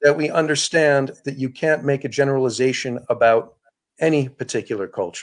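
A man with an American accent, fairly high pitch, ordinary pitch variation and a fairly quick pace. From upstate New York. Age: 40s. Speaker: cross-cultural communication expert. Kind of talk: interview.

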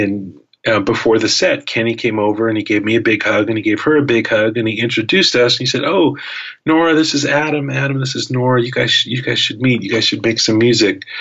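Noticeable background noise runs under a man's voice. His pitch variation is ordinary. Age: 50s. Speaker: guitarist. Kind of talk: casual chat. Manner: halting.

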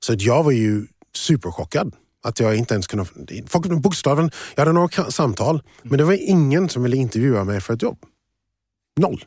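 Very wide pitch swings and long, frequent pauses mark this moderately paced speech, recorded very cleanly against a silent background. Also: man, medium pitch for a man. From USA, moved to Sweden at 12. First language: English (speaking Swedish). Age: 40s. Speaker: finance professional and diversity advocate. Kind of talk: interview conversation.

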